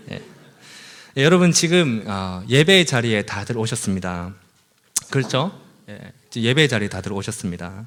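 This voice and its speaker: This man's pitch swings very widely. He speaks at a moderate pace. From South Korea, Busan. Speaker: preacher. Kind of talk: sermon. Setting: church.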